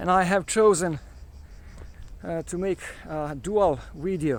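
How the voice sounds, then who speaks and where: Fairly even intonation carries speech delivered at a very slow pace. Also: man. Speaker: travel vlogger. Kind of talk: walking tour vlog. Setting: outdoors. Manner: halting.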